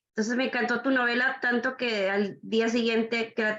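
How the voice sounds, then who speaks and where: This woman talks at a moderate pace with fairly even intonation. She has an ordinary speaking voice. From Nuevo Laredo, Tamaulipas, Mexico. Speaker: book club participant. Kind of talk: audience question.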